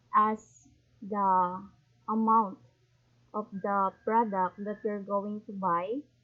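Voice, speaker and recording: In a Visayan Filipino accent, a woman talks at a fairly high pitch. Her intonation is fairly even. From Philippines, Visayas region. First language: Bisaya (Cebuano). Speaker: YouTuber, language learner. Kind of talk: casual tutorial vlog. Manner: halting.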